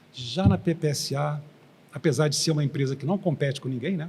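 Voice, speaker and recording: Moving at a fairly quick pace, a man talks in a plain, everyday voice. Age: 60s. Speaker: engineer and former oil company executive. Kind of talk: interview. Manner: conversational.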